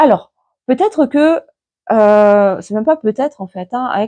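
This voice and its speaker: Dry and close with no echo, a woman's fairly high, dark, mellow voice carries lively intonation. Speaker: tarot card reader and medium. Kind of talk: tarot reading monologue. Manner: hesitant, many fillers.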